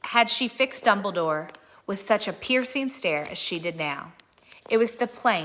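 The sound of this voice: Lively intonation comes through in an unforced reading voice.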